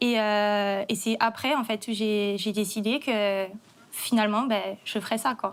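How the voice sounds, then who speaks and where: A woman's fairly high voice at a fairly slow pace, monotone and flat in intonation, with very even loudness. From Corsica. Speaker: chef. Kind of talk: testimony. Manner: halting.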